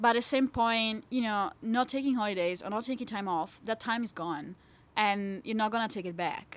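A woman speaks with an Italian accent at a moderate pace. Her pitch is fairly high with ordinary variation, on a very clean recording with a silent background. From Italy. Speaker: PhD student in plant science. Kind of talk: interview. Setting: studio. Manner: animated.

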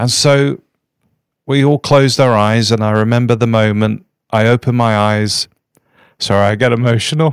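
With an English accent, a man at a medium pitch speaks at a moderate pace with long, frequent pauses, fairly even intonation and very even loudness, on a very clean recording with a silent background. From England, near London. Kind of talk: interview.

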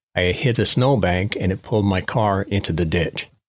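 A man with a fairly low voice speaks at a moderate pace with ordinary pitch variation. It is a plain, everyday voice on a very clean recording with a silent background. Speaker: guest sharing his story. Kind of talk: testimony.

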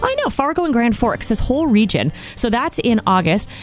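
An enthusiastic, energetic woman's voice with very wide pitch swings and music in the background. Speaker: radio show guest, startup event organizer. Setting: radio studio. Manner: fast talker.

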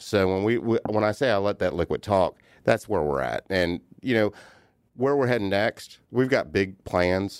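With an American accent and a plain, everyday voice, a man speaks at a moderate pace and fairly low pitch with ordinary pitch variation, on a very clean recording with a silent background, dry and close with no echo. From US South, Outer Banks of North Carolina. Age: 40s. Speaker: brewery co-owner and head brewer. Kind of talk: casual chat. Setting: studio.

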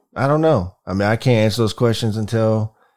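On a very clean recording with a silent background, a man speaks in a normal speaking voice at a fairly low pitch, moving at a fairly quick pace with ordinary pitch variation. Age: 40s. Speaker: podcast co-host. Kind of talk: casual chat.

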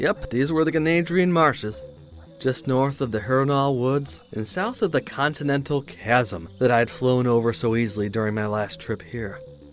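Against noticeable background noise, a man with a medium pitch talks at a moderate pace with lively intonation. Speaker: fiction narrator. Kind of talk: dramatic first-person sci-fi narration, scripted, read aloud. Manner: tense, urgent, vividly dramatic.

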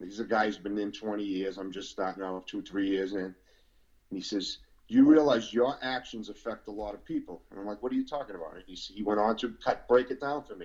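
A man with a Boston accent, fairly low-pitched and fairly quick, with big swings in loudness. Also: ordinary pitch variation. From Boston, Massachusetts. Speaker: former prisoner. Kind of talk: testimony.

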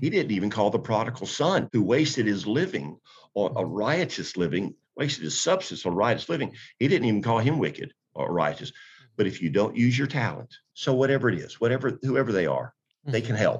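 Speaking at a fairly quick pace, a man shows vocal fry and very wide pitch swings. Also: medium pitch for a man. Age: 60s. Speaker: pastor and author. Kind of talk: interview, preacherly talk.

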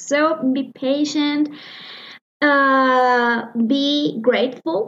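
With a Spanish accent, a woman speaks in a high pitch with fairly even intonation. Her pace is very slow. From Mexico, Morelia, Michoacán. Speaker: musician and music teacher. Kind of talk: interview answers. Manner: halting, many fillers.

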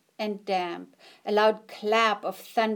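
Fairly even intonation carries a natural reading voice.

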